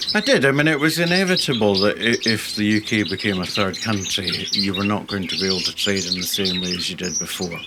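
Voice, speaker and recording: With hardly any pauses, a man talks very fast in a fairly low pitch and lively intonation, with noticeable background noise and audible room echo. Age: 60s. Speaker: canary breeder. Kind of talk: casual interview chat. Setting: bird room.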